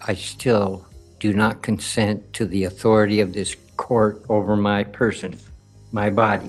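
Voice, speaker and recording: With music in the background, a man speaks at a very slow pace in a fairly low pitch. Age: old. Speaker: sovereign citizen defendant. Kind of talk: courtroom statement.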